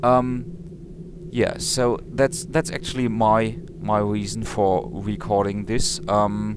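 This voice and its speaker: At a very slow pace and very even loudness, a man speaks at medium pitch with lively intonation, amid noticeable background noise and audible room echo. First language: not English. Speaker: let's play gamer. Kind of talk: game commentary. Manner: halting, many fillers.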